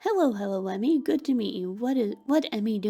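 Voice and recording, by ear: A passage is read aloud in a natural voice. The intonation rises and falls in a lively way.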